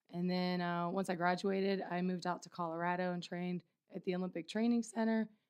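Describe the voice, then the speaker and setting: Recorded very cleanly over a silent background, a woman with a medium pitch speaks at a moderate pace with a Midwestern US accent. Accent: US Midwest. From Ohio. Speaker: wrestling coach. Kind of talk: casual interview.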